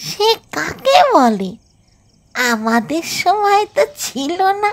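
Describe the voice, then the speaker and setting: This put-on character voice is extremely high in pitch. It moves at a very slow pace. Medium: read story. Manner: genial, old-fashioned.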